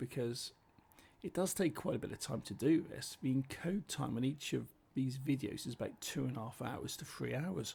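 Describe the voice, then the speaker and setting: Here a man with a British accent speaks at a medium pitch. His tone is dark and mellow, marked by vocal fry. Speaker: gaming commentator. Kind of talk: gameplay commentary. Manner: casual, chatty.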